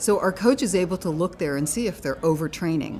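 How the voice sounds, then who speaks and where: Over music in the background, a woman with a fairly low pitch speaks with lively intonation. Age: 60s. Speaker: fitness studio owner. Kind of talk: casual chat.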